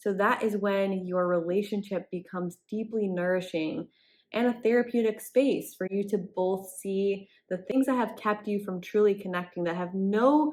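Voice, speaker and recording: A soft-spoken woman at a medium pitch, with ordinary pitch variation and a moderate pace. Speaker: relationship coach. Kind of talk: tutorial.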